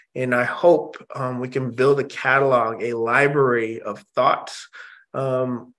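A man with a General American accent, fairly even intonation, a quiet background. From Indonesia, raised in US. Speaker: music industry executive; interview guest. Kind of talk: interview. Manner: halting. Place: home room. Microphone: video call.

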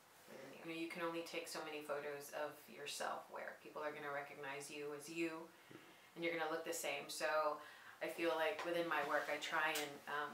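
With a very deep, low pitch and a monotone, flat delivery, a woman talks at a moderate pace amid audible room echo and light background noise. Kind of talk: interview answer. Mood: calm, reflective. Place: studio.

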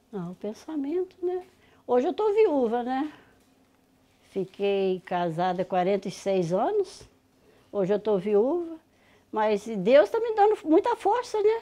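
A woman with a high pitch and a dark, mellow tone speaks very slowly, her pitch swinging very widely, with long, frequent pauses. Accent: rural Minas Gerais. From Minas Gerais, rural. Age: 60s. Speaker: farm matriarch; host's interviewee at her home. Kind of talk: casual interview. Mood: warm, reflective, grateful. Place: kitchen. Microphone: phone near.

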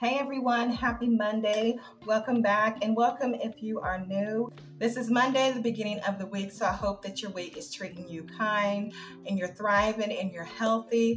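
Faint music plays behind a woman speaking at a moderate pace. Her intonation stays fairly even. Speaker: cleaning vlogger. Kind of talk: casual vlog chat. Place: kitchen.

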